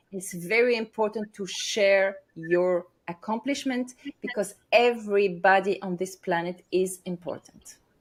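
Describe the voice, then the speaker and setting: A woman with a non-native accent speaks at a fairly slow pace. Her pitch is medium, with ordinary pitch variation. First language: not English. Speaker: stress coach and speaker. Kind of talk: interview. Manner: hesitant, many fillers.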